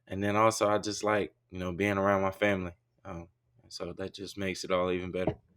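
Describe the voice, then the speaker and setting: A man talks at a very fast pace with an Arkansas accent. His fairly low voice stays monotone and flat. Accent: Southern US (Arkansas). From Arkansas, US South (Warren). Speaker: college football player, draft prospect. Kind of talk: interview. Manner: halting, many fillers.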